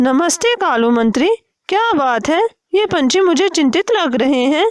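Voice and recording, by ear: A woman puts on a cartoonish character voice. Her pitch is extremely high, and her pace is moderate.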